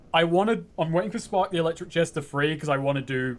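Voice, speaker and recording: A man with a British accent talks at a very fast pace and a fairly high pitch, with ordinary pitch variation. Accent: British, described as weird-ish. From England, North London. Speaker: game streamer. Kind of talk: casual chat. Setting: live stream.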